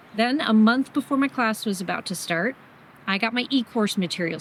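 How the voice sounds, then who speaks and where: A woman with an unremarkable speaking voice, medium pitch, ordinary pitch variation and a moderate pace. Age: 50s. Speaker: beginner motorcycle rider and hiker. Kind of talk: vlog narration to camera.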